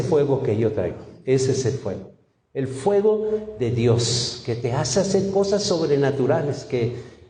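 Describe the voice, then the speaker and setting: Through audible room echo, a man speaks fairly slowly with very wide pitch swings. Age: 60s. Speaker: pastor. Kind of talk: sermon. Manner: animated.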